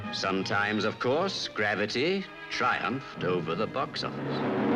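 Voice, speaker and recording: Over music in the background, a man speaks at a fairly slow pace in a fairly low pitch. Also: lively intonation. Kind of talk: documentary narration.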